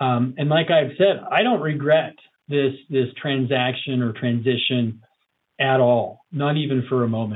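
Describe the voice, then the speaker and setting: A man with a plain, everyday voice speaks at a fairly slow pace and medium pitch, with ordinary pitch variation. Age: 40s. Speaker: financial advisor. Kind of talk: interview.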